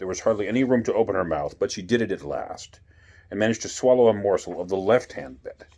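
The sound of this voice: Pitch shifts only in an ordinary way. The delivery is an unforced reading voice.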